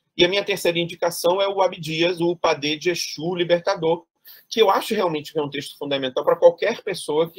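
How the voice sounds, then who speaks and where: The sound is dry and close, with no echo. A man talks at a fairly quick pace in a high pitch with ordinary pitch variation. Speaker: thesis examiner, theatre academic. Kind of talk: academic thesis defense feedback. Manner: fast; hesitant, many repetitions.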